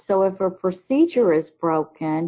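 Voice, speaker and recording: Very slowly, a woman speaks at a medium pitch. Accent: Southern US. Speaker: teacher trainer, former teacher. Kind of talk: webinar presentation. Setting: online webinar.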